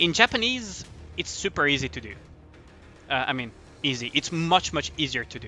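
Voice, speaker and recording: Over music in the background, a man with a non-native accent talks at a fairly quick pace, using very wide pitch swings and big swings in loudness, broken by long, frequent pauses. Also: fairly high pitch for a man. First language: not English. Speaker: gaming streamer. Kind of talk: live game stream chat. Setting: live stream. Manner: casual, halting with fillers.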